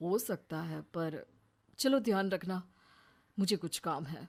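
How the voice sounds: In a put-on character voice, a woman talks slowly with vocal fry, a fairly low pitch and ordinary pitch variation.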